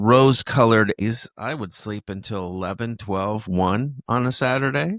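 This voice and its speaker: On a very clean recording with a silent background and a dry, close sound with no echo, a man with medium pitch and a normal speaking voice talks at a fairly slow pace with ordinary pitch variation. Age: 50s. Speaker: podcast co-host. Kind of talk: casual chat.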